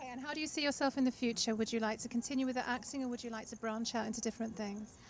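Speaking at a very fast pace, a woman uses a fairly high pitch and fairly even intonation.

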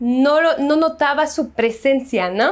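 An animated woman's high voice with ordinary pitch variation. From France. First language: French (speaking Spanish). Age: 20s. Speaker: YouTuber; vlogger. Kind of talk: casual vlog monologue. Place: home room. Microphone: lapel.

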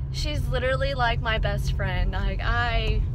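Loud background noise sits behind a woman speaking at a fairly slow pace. The sound is dry with no echo. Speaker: vlogger. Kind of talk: casual vlog chat. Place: car. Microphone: phone near.

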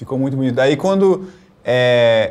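Speaking with a Rio Grande do Sul accent, a man uses a fairly high pitch with very wide pitch swings. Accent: Rio Grande do Sul (gaúcho). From Rio Grande do Sul, Brazil. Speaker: cellist and music professor. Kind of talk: interview. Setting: video call. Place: studio.

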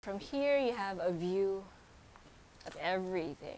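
Woman's fairly slow speech with ordinary pitch variation. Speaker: property tour host. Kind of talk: casual house tour commentary. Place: hall.

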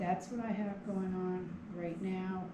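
A woman speaks slowly with fairly even intonation and a fairly low pitch, over clear background noise.

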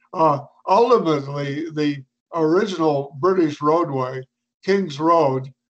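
Using a plain, everyday voice, a man speaks at a fairly slow pace in a fairly high pitch with ordinary pitch variation. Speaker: local historian. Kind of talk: illustrated history talk.

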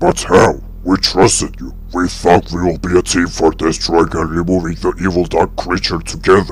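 Putting on a character voice, a man speaks at a very deep, low pitch and a moderate pace with hardly any pauses over clear background noise. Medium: machinima. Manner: indignant, angry, accusing.

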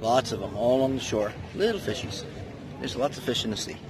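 With faint background noise, a man talks at a fairly quick pace with vocal fry.

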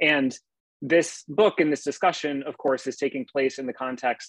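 A man talks at a fairly quick pace with ordinary pitch variation, the sound dry with no echo over a quiet background. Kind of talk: lecture. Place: home room. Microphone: earbuds.

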